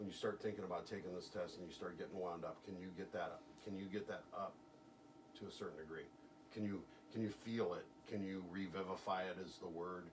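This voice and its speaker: At a fairly quick pace, a man with a very deep, low voice speaks in a flat monotone, with noticeable background noise and audible room echo. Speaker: hypnotist. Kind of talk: hypnosis session with a client. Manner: fast.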